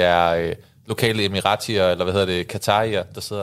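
A man speaks in an unremarkable speaking voice at a moderate pace, his intonation fairly even, on a very clean recording with a silent background. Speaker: football podcast co-host. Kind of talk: casual chat. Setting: studio.

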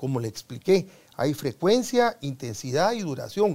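High male voice with a dark, mellow tone, very wide pitch swings and a fairly slow pace, on a very clean recording with a silent background. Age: 70s. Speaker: sports medicine doctor. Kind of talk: interview. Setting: studio. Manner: halting.

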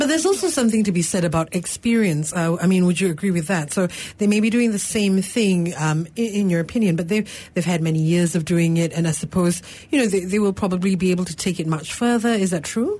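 At a very fast pace, a woman with a medium-pitched, somewhat breathy voice and a dark, mellow tone speaks with ordinary pitch variation and very even loudness. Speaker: radio talk show co-host. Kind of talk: call-in radio show.

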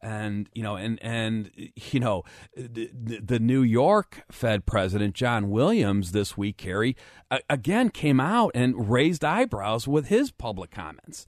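The sound is dry and close with no echo, against a quiet background. A man talks at medium pitch with ordinary pitch variation. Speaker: financial planner and radio show co-host. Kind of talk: casual chat; radio talk show. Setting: studio. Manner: fast.

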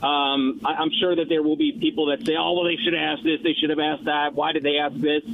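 A man with an American accent talks at a very fast pace with hardly any pauses, his pitch fairly high for a man with ordinary variation. His loudness stays very even, over noticeable background noise. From New York. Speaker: TV news anchor and debate moderator. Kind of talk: radio interview.

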